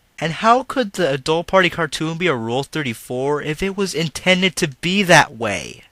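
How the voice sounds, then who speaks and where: Loud shouting in a bright, sharp tone, with lively intonation at a moderate pace and a dry, close sound with no echo. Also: man, very clean recording, silent background. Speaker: YouTube commentator. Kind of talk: angry rant commentary. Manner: loud, yelling.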